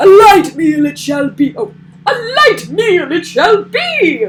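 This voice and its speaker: The put-on character voice is loud and extremely high-pitched, moving at a fairly slow pace. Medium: read story. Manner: loud, blustering.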